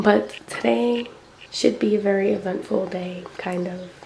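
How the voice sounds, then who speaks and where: A woman is speaking with noticeable background noise. Room echo is audible too. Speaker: vlogger. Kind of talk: casual vlog. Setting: filming self on camera.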